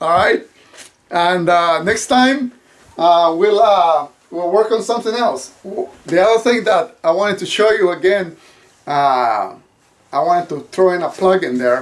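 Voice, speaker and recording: A man's high-pitched voice with a slight non-native accent, fairly slow pace and lively intonation. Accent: slight foreign. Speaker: YouTuber and actor. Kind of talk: DIY tutorial. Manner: halting, many fillers.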